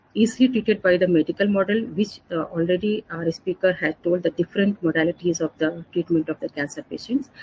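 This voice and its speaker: Somewhat breathy and dark, mellow in tone, a woman's voice moves at a fairly quick pace with lively intonation in a dry, close sound with no echo. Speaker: pain and palliative care doctor. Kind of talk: lecture. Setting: online webinar. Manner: fast.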